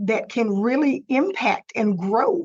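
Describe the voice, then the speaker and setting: A woman with a Texan accent, high in pitch, with lively intonation at a fairly slow pace. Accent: Texas country twang. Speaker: digital marketing consultant. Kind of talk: webinar presentation. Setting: live webinar, screen sharing.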